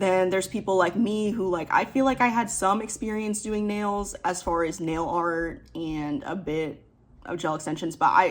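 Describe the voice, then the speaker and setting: Here is a woman with a normal speaking voice and medium pitch. She talks at a moderate pace with ordinary pitch variation. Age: 20s. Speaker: nail technician. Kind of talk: casual vlog advice talk.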